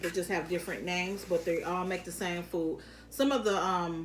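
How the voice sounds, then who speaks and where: A woman with an American accent speaks at a fairly low pitch. She keeps a moderate pace, with audible room echo. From Detroit, Michigan. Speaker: mukbang youtuber. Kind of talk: casual eating-show chat. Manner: halting with fillers.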